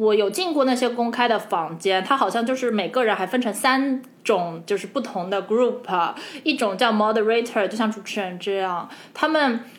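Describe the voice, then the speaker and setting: Lively intonation from a woman at a fairly high pitch and a moderate pace. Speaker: podcast co-host. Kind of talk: casual chat. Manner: animated.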